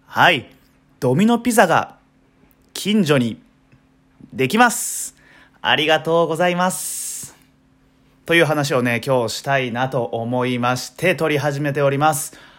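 Pausing long and often, a man with fairly high pitch talks fairly slowly, using lively intonation. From Ehime, Shikoku. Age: 20s. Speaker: podcaster. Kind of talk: solo casual monologue. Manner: relaxed, many filler words.

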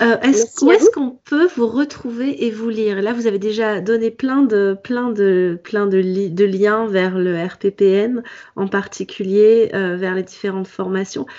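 Noticeable background noise behind a woman's fairly high-pitched voice, its pitch varying in an ordinary way. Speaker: podcast host. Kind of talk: interview.

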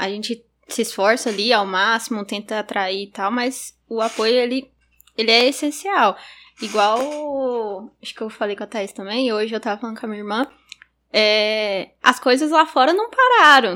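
Her loudness swinging widely, a woman talks at a moderate pace. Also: ordinary pitch variation. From Gurupi, Tocantins, Brazil. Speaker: youth group music coordinator. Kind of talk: casual chat.

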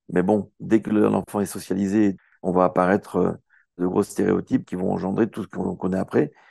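Against a quiet background, a man talks at a moderate pace in a fairly low pitch. His tone is dark and mellow, and the sound is dry and close with no echo. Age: 60s. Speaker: nonprofit co-founder, former nurse and performer. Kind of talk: casual interview.

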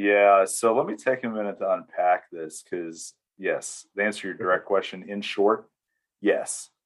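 Against a quiet background, a man with an American accent talks at a moderate pace. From US South, East Tennessee. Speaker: church security volunteer, retired Marine. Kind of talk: interview conversation. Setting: video call.

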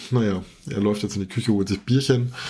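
A man talks at a fairly quick pace in a fairly low, somewhat breathy voice. His tone is dark and mellow, with fairly even intonation. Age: 40s. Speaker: podcast host, IT professional. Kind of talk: casual chat. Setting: video call.

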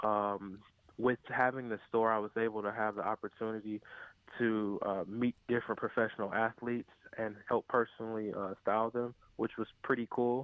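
A man's medium-pitched voice with an American accent, monotone, flat intonation and a moderate pace. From US Midwest, Cleveland, Ohio. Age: 20s. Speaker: sneaker reseller and store owner. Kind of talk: casual interview. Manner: hesitant, many fillers.

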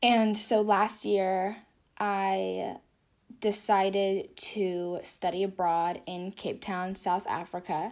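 In an American accent, a woman speaks at a very slow pace with a medium pitch on a very clean recording with a silent background. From California. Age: 20s. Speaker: podcast host and artist, college student. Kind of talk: casual solo monologue. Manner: animated.

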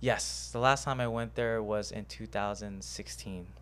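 His pitch swinging very widely, a man speaks with an American accent. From Houston, Texas. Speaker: martial arts coach. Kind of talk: casual chat. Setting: studio.

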